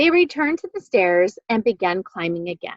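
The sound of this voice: A quiet setting and an unforced reading voice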